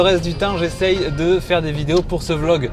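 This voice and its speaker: A fairly slow delivery in a Marseille accent, with ordinary pitch variation, audible room echo and music in the background. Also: man. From Marseille, southern France. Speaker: videographer and vlogger. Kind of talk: vlog narration. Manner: casual, hesitant fillers.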